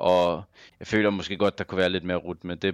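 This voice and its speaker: A man's very deep, low pitch with fairly even intonation over a quiet background. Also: dry, close sound with no echo. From Denmark, Copenhagen. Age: 30s. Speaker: professional esports player. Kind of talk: casual interview. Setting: online call.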